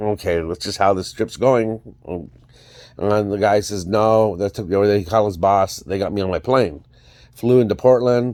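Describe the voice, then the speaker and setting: Keeping a moderate pace, a man speaks at a fairly low pitch with fairly even intonation. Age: 50s. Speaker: vlogger. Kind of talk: personal vlog monologue. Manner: halting, many fillers.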